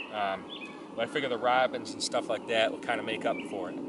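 Over noticeable background noise, a man talks at a fairly quick pace in a dry sound with no echo. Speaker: bushcraft instructor. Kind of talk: tutorial. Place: forest.

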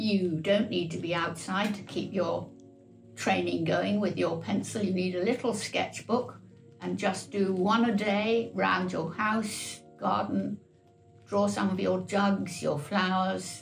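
Faint music sits in the background as a woman speaks at a very slow pace. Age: 80s+. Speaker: artist. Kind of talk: interview answer. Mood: warm, encouraging. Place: home room.

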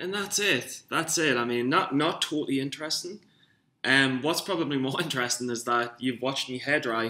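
Bright and sharp in tone, a man with a Geordie accent speaks at a fairly quick pace with ordinary pitch variation. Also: medium pitch for a man. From northern England, Newcastle. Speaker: amateur stock trader vlogger. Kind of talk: casual vlog monologue. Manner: rambling, hesitant with fillers. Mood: self-mocking, a bit rough. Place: home room. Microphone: webcam.

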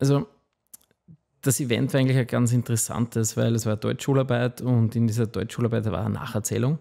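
The tone is dark and mellow, with very even loudness. The pace runs fairly quick and the intonation stays fairly even. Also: man, medium pitch for a man, quiet background. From Austria, Waldviertel (Lower Austria); Lower Austria. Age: 40s. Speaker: food company founder; podcast guest. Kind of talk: interview. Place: studio. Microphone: studio mic.

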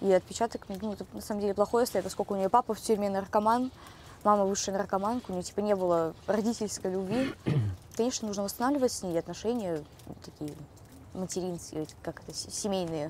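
A woman with a medium pitch talks at a very fast pace, with big swings in loudness and long, frequent pauses. Her pitch varies in an ordinary way, and the sound is dry with no echo over light background noise. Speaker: rehab patient acting as interviewer. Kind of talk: interview. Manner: casual, uses filler words. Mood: calm, confessional. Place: garden.

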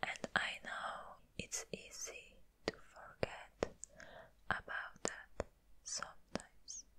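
Whispering at a very slow pace, a woman speaks with a gentle tone. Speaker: ASMR creator. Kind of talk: ASMR roleplay, comforting personal attention with positive affirmations. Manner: soft, gentle, comforting. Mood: caring, reassuring. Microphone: studio mic.

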